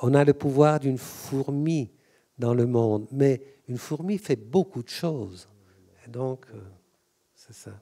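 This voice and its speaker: This man speaks at a very slow pace, with long, frequent pauses and big swings in loudness. His voice has a dark, mellow tone, a medium pitch and ordinary pitch variation. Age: 60s. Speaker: author and collector. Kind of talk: public talk. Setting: museum auditorium with audience. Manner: halting, repetitive.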